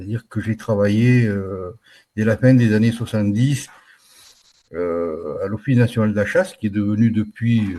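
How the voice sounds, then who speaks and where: At a moderate pace, the voice has a dark, mellow tone and fairly even intonation. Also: man. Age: 60s. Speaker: retired wildlife manager. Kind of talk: casual interview. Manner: halting, with many hesitations.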